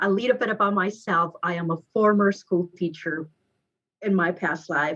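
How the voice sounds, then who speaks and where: A woman with a Mexican accent, fairly low-pitched, with ordinary pitch variation and a moderate pace. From Mexico, Guadalajara. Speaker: real estate agent. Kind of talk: podcast interview.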